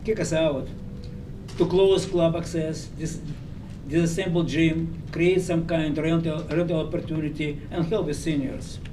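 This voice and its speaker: With noticeable background noise and audible room echo, a man with a non-native accent speaks at a fairly slow pace in a high pitch with fairly even intonation. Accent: foreign. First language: not English. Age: 80s+. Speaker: member of the public speaking at a meeting. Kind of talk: public comment at a school board meeting. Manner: halting, with stumbles and self-corrections.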